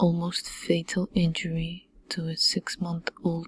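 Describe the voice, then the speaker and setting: Soft-spoken and somewhat breathy, a woman talks very slowly at a fairly low pitch with monotone, flat intonation, the sound dry and close with no echo. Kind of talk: crime documentary narration.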